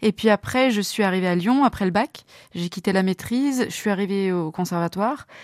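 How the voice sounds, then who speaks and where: A woman at a medium pitch with ordinary pitch variation and a fairly quick pace, on a very clean recording with a silent background and a dry, close sound with no echo. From France, Loire (Montbrison). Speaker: soprano singer and singing teacher. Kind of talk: interview. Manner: hesitant, frequent fillers.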